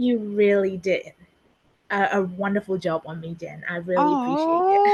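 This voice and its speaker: With a Burmese accent, a woman talks at a moderate pace, her loudness swinging widely. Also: medium pitch for a woman, lively intonation. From Myanmar. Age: 30s. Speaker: public servant and community leader. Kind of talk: interview.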